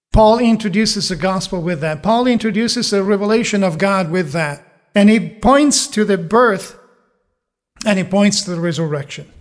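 Moderate pace, ordinary pitch variation. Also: man, high pitch for a man. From Italy. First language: Italian. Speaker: pastor. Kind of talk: sermon. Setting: church.

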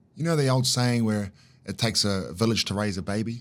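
The recording is very clean with a silent background. A man in a New Zealand accent talks at a moderate pace and medium pitch with ordinary pitch variation. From New Zealand, Auckland. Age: 40s. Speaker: life coach and community fitness founder. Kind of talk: casual interview.

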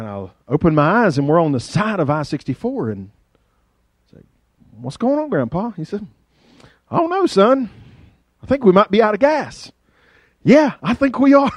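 A man with an Appalachian accent speaks at a moderate pace in a high pitch, leaving long, frequent pauses. His pitch swings very widely, and his loudness shifts greatly. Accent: Appalachian Southern. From US South, rural southwest Virginia. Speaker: pastor. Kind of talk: sermon. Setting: church. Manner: animated.

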